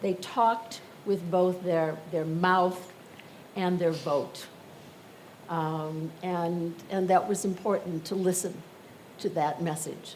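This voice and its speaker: In a room with audible echo, a woman with an American accent and a fairly low pitch speaks very slowly with fairly even intonation and long, frequent pauses. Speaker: panelist, widow of a former diplomat. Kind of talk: panel discussion.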